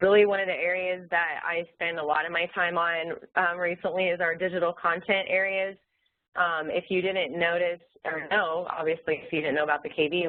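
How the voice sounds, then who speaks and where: A woman's fairly low voice at a fairly quick pace. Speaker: online learning support presenter. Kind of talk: webinar presentation. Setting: webinar screen share. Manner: fast.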